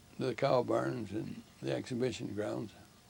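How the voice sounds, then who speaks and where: Vocal fry at a fairly slow pace. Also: man. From Ontario, Canada. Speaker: war veteran, retired air force pilot. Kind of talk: interview answer.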